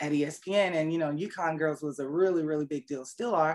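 A woman's very deep, low voice with an American accent, fairly quick pace and fairly even intonation. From Fayetteville, North Carolina (born South Korea). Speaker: camera operator, former athlete. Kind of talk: interview.

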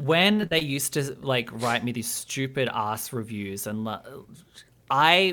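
With an Australian accent, a man at medium pitch talks in a bright, sharp tone with lively intonation on a very clean recording with a silent background. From Australia (Albury, New South Wales). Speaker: podcast host and journalist. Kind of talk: casual interview chat.

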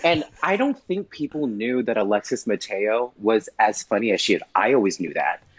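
Through noticeable background noise, a man at medium pitch speaks at a moderate pace with hardly any pauses. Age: 30s. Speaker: drag performer. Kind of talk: casual interview.

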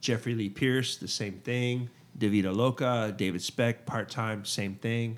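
A man with an unremarkable speaking voice and an American accent talks at a fairly slow pace, medium in pitch and fairly even in intonation, on a very clean recording with a silent background. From South Texas, Port Lavaca (Gulf Coast). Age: 40s. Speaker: podcast guest, music fan. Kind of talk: casual chat.

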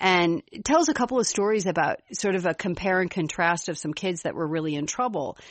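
Speaking fairly quickly, a woman has a slight Chicago accent. Her medium-pitched voice moves with lively intonation. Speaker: podcast co-host. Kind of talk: casual chat.

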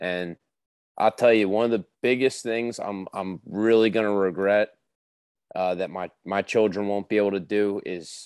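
Dry and close with no echo on a very clean recording with a silent background, a man uses a normal speaking voice, fairly low in pitch, at a fairly slow pace with fairly even intonation. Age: 30s. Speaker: angler. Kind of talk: casual chat.

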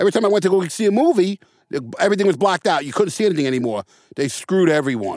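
Speaking at a very fast pace, a man uses a high pitch and lively intonation. He has a New York accent. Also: dry, close sound with no echo. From New York City, the Bronx. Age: 50s. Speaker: actor. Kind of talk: casual interview. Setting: studio.

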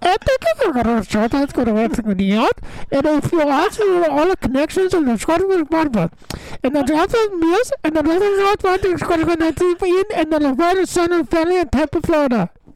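Someone mumbles in a put-on character voice at an extremely high pitch. The pace is moderate, over light background noise. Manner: mumbling, unintelligible.

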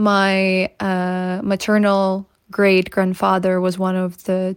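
In a Ukrainian accent, a woman speaks at a very slow pace in a medium pitch, on a very clean recording with a silent background. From Ukraine, Kyiv region. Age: 20s. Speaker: activist. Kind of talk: testimony.

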